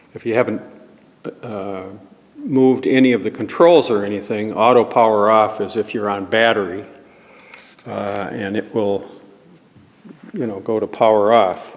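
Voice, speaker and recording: A fairly low-pitched man with fairly even intonation and long, frequent pauses, over noticeable background noise. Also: moderate pace. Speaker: church volunteer. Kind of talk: tutorial. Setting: church. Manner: louder.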